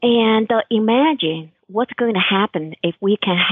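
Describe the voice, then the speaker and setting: A woman with a Chinese accent speaks very slowly at a fairly high pitch, with ordinary pitch variation. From China. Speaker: author and holistic health coach. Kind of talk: interview. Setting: radio show.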